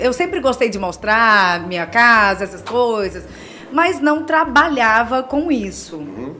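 Against noticeable background noise, a woman with a fairly high pitch speaks at a very slow pace with very wide pitch swings. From Goiás, Brazil. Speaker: model and digital influencer. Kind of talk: casual interview. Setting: studio.

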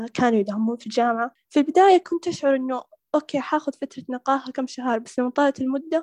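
A woman speaks at a high pitch with hardly any pauses. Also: ordinary pitch variation, fairly quick pace, dry, close sound with no echo. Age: 20s. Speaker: university student. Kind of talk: interview testimony.

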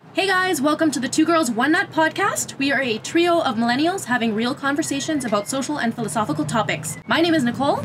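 Against noticeable background noise, a woman with a Canadian accent talks at a very fast pace with hardly any pauses, using a high pitch and lively intonation. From Canada, Winnipeg, Manitoba. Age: 20s. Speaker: podcast co-host. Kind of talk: casual chat.

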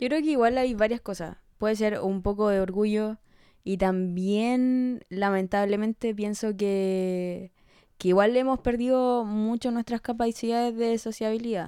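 A fairly high-pitched woman's voice, dark and mellow in tone, at a fairly slow pace. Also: fairly even intonation, very clean recording, silent background. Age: 20s. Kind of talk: casual chat.

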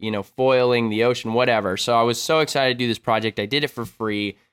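Here we have an unremarkable speaking voice. Its pitch moves up and down in an ordinary way. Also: man. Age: 20s. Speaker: extreme sports YouTuber and filmmaker. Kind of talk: casual chat.

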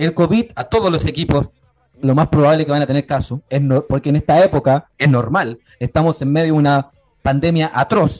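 Fairly quick speech from a man, dry and close with no echo. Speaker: sports radio panelist. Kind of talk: casual sports talk. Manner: animated.

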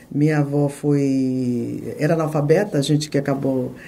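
A woman with a very deep, low pitch over noticeable background noise. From Bahia, Brazil (Itabuna). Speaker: TV journalist. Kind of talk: interview conversation.

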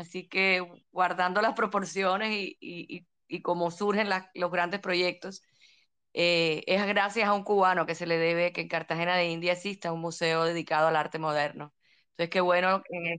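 A very fast, monotone woman's voice with a fairly low pitch against a quiet background. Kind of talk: casual chat. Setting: live audio chat room.

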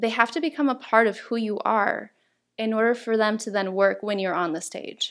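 Her voice is a normal speaking voice, fairly high in pitch for a woman with ordinary pitch variation. She keeps a moderate pace on a very clean recording with a silent background. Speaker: table topics champion and workshop speaker. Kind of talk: interview answering host's questions, explaining tips.

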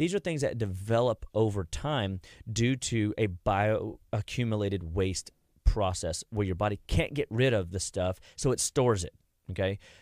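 A man speaks at a moderate pace in a plain, everyday voice, fairly low in pitch with ordinary pitch variation, in dry, close sound with no echo and a very clean recording with a silent background. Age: 40s. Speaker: clinical nutrition doctor. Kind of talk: radio interview. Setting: studio.

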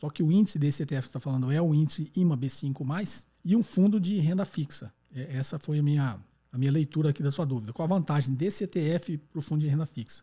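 A man speaks at a fairly quick pace and a fairly high pitch. His tone is dark and mellow, and somewhat breathy. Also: ordinary pitch variation, hardly any pauses. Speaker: economics podcast host answering listener questions. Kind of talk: call-in Q&A explanation. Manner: conversational, frequent tag questions.

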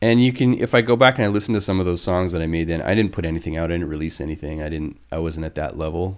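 In a Western Canadian accent, a man with a very deep, low pitch talks at a very fast pace with hardly any pauses and ordinary pitch variation, on a very clean recording with a silent background. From northern British Columbia, Canada. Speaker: techno DJ and producer. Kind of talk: casual chat.

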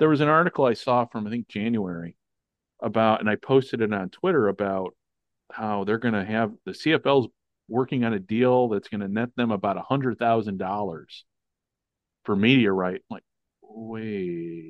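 At a moderate pace, a man with an American accent speaks in an unremarkable speaking voice of medium pitch, varying his pitch in an ordinary way. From US Midwest, Chicago area. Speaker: podcast host. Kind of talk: casual chat. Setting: remote call.

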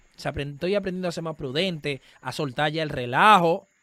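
This is a man speaking. He has a Dominican accent. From Dominican Republic. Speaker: comedian and political candidate. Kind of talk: casual interview. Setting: remote call from home.

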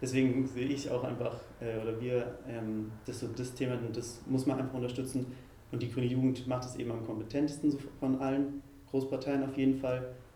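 Flat, monotone speech comes at a fairly quick pace, with audible room echo and noticeable background noise. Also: man, medium pitch for a man. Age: 20s. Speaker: youth political group spokesperson. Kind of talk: interview.

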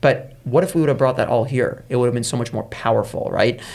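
With a somewhat breathy voice, a man speaks at a fairly quick pace and medium pitch, with ordinary pitch variation. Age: 30s. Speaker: entrepreneur. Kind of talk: interview.

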